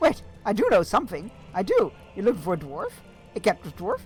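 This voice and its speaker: A man puts on a squeaky character voice pitched high. Faint music plays in the background. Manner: frightened, pleading, eager to please.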